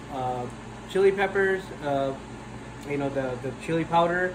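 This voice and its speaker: A man's fairly high-pitched voice at a fairly slow pace, with audible room echo and noticeable background noise. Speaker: cooking show host. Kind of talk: cooking tutorial. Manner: hesitant, many fillers and repeats.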